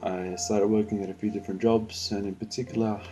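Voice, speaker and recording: Music plays behind a man talking at a very fast pace. His intonation is monotone and flat. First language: Spanish. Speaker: believer giving personal testimony. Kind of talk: testimony. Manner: halting, many fillers.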